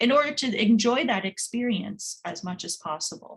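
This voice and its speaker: A woman speaks in a somewhat breathy voice. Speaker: career advisor. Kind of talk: webinar presentation. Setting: online webinar. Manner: fast.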